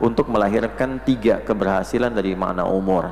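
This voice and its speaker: A man at a fairly low pitch with ordinary pitch variation and a moderate pace, amid noticeable background noise. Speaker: Islamic preacher / religious lecturer. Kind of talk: Islamic lecture (kajian) on memorization tips. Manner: instructive, clear lecturing pace.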